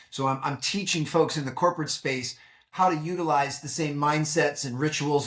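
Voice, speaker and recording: In an American accent, a man with an ordinary speaking voice talks at a moderate pace, his pitch fairly high with ordinary variation. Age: 40s. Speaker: high-performance coach and keynote speaker. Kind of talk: podcast interview. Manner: conversational with frequent fillers and repetitions.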